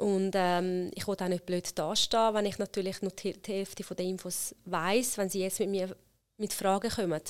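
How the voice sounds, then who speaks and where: A woman speaks in an Italian accent. Her pitch sits in the medium range. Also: very clean recording, silent background. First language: Italian (speaking German). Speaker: HR consultant and company founder. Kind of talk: interview conversation.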